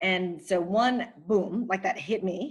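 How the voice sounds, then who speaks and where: This woman has a plain, everyday voice, medium in pitch, with ordinary pitch variation. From US Midwest (Racine, Wisconsin), born in the Philippines. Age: 40s. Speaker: novelist. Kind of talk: interview.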